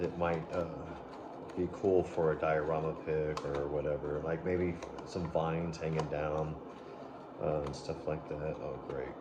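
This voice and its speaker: Soft-spoken and at a fairly slow pace, a man with a very deep, low pitch talks in monotone, flat intonation with long, frequent pauses, amid noticeable background noise and audible room echo. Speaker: toy reviewer. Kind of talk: unboxing review. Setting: home at night. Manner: rambling filler words.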